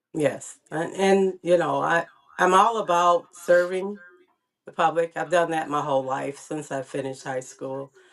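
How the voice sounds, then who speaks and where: Delivery is fairly unhurried, and the pitch shifts in a typical way. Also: woman, fairly low pitch for a woman. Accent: American. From Jackson, Michigan. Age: 60s. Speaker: community public servant. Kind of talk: interview. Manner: halting, many fillers.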